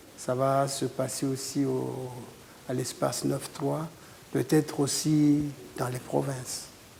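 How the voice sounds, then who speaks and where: Delivery is very slow, broken by long, frequent pauses. The intonation stays monotone and flat. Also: man, medium pitch for a man. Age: 60s. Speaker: guitarist. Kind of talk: interview.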